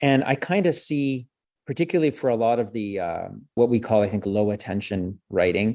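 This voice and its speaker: A man with a French accent speaks at a moderate pace in a medium-pitched voice with a dark, mellow tone and lively intonation against a quiet background. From French Canada. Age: 40s. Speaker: communications professor. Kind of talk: interview.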